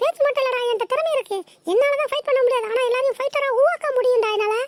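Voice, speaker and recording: A woman uses a cartoonish character voice, extremely high and squeaky. She talks at a very fast pace. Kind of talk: comic overacting.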